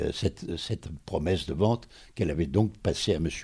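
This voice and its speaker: A man's very deep, low voice with a dark, mellow tone, vocal fry and ordinary pitch variation. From France, Port-Cros island. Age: 90s. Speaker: hotel owner. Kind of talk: interview. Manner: halting.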